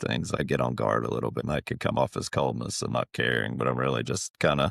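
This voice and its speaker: In a strong Southern US accent, a man talks very fast with vocal fry, the sound dry and close with no echo. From Appalachia. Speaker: podcast guest sharing personal story. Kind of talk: interview testimony. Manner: quiet.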